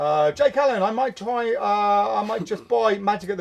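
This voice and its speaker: A man speaks in a high pitch. His intonation is lively. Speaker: magic shop owner and show host. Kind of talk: live stream chat reading viewer comments. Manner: fast, mumbling; halting.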